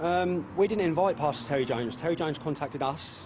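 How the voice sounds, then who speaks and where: Talking at a very fast pace, a man shows ordinary pitch variation. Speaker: political activist leader. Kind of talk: live TV news interview answer. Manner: halting, reading out answers.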